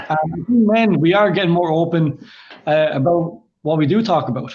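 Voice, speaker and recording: A high-pitched man with an Irish accent, lively intonation and a fairly slow pace. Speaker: kidney patient, clothing brand founder. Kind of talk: interview.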